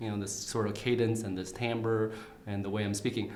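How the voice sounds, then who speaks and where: Against noticeable background noise and audible room echo, a man with a Vietnamese accent speaks at a medium pitch and a fairly quick pace. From Vietnam, raised in St. Cloud, Minnesota from age nine. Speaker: candidate for county attorney. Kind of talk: interview. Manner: halting, many fillers and repeats.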